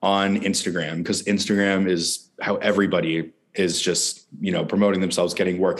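A man talks at a moderate pace with a fairly low pitch and an ordinary speaking voice. The background is quiet. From Newfoundland, Canada. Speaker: filmmaker and actor. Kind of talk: interview. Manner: frequent laughter and fillers.

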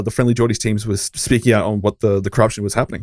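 Monotone, flat intonation in an Australian accent comes through with a dry, close sound and no echo. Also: man. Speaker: podcast host. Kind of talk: casual chat.

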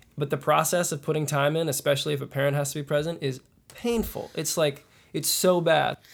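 This man has a normal speaking voice with a General American accent, fairly high pitch and fairly even intonation. His pace is fairly quick, and the recording is very clean with a silent background. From US Midwest, Kansas City. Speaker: folk musician. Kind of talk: casual interview. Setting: at a music festival.

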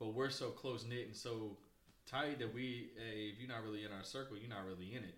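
Here a man talks at a fairly quick pace in an ordinary speaking voice. His pitch sits in the medium range with fairly even intonation. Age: 30s. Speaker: podcast co-host. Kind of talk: casual chat.

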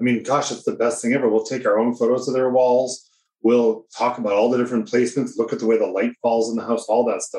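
Very fast and monotone, this man's delivery stays flat in intonation. His tone is dark and mellow, at a medium pitch. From New Hampshire. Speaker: portrait photographer, professional association president. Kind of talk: casual interview conversation.

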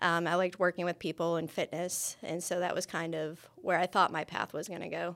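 Fairly quick, monotone, flat delivery from a woman with a fairly low pitch and an American accent, on a very clean recording with a silent background. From New York State, near Buffalo. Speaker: university kinesiology lecturer and archery coach. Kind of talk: interview. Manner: frequent fillers (um, uh).

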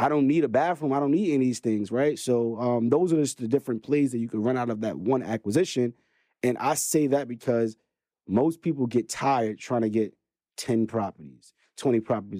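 In a very clean recording with a silent background, a man with a Brooklyn accent talks at a fairly quick pace, his medium pitch and dark, mellow tone showing ordinary pitch variation. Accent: New York (Brooklyn). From Brooklyn, New York. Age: 30s. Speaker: real estate investor. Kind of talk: casual interview.

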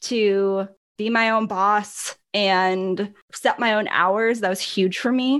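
Against a silent background on a very clean recording, a woman speaks at medium pitch. She has a slight Upper Midwest accent. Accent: slight northern US (Upper Midwest). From Milwaukee, Wisconsin. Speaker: business owner, podcast co-host. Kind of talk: casual chat.

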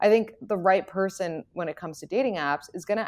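A woman with an American accent speaks in an unremarkable speaking voice at medium pitch. Her delivery is fairly quick, with lively intonation. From New York City. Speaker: dating expert and podcaster. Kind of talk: casual chat.

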